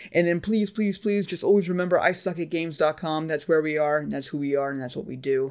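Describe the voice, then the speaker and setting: In a very clean recording with a silent background, a man talks very fast at a fairly high pitch, with ordinary pitch variation and hardly any pauses. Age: 40s. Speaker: podcast host. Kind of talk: casual chat.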